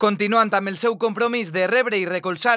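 Background silence makes for a very clean recording. The speaking pace is moderate. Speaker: news reader. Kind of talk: news reading.

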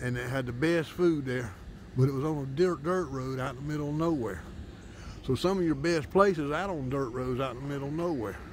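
Over light background noise, a man speaks at a moderate pace with ordinary pitch variation, and the sound is dry with no echo. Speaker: local diner reviewing a restaurant. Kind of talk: casual vlog chat. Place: open country. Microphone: phone near.

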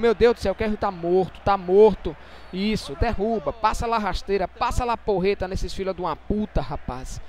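With noticeable background noise behind him, a man speaks in a high pitch. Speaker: gaming YouTuber. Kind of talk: gameplay commentary.

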